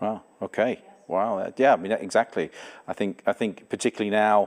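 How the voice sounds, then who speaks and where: A man talks at a moderate pace. He has an English accent. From England. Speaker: church pastor host. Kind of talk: church service interview. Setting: Zoom call with guest.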